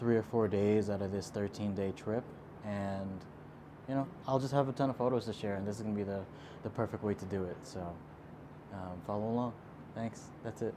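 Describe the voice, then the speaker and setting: Over noticeable background noise, a man speaks at a fairly quick pace with a fairly low pitch. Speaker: travel vlogger. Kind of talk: casual vlog chat. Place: home room.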